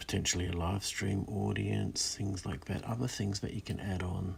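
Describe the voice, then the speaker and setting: Soft-spoken and calm in tone, a man talks at a moderate pace in a very deep, low pitch with fairly even intonation. Noticeable background noise runs underneath. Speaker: illustrator live streaming while drawing. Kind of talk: casual live stream chat while drawing. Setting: in a parked converted school bus at night. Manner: soft-spoken, calm; hesitant, many fillers.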